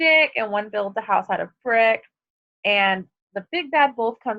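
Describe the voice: Someone reads aloud in a plain way. Little can be heard behind the voice, so the background is quiet.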